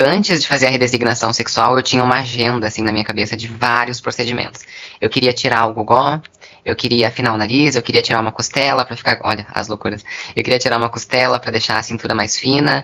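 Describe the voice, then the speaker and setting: Her very deep, low voice moves at a very fast pace, with fairly even intonation, as this woman speaks. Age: 20s. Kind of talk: interview testimony.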